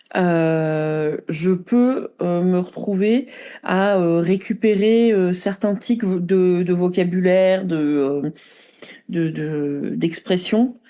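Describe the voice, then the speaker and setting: A woman speaks at a medium pitch with ordinary pitch variation and a dark, mellow tone. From Lyon, France. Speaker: podcast host. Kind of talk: interview.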